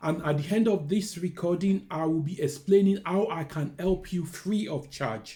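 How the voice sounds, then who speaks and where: With a Nigerian accent, a man talks at a moderate pace with hardly any pauses, his high-pitched voice dark and mellow in tone and his pitch varying in an ordinary way. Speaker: careers adviser. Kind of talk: talking-head video, personal story and advice.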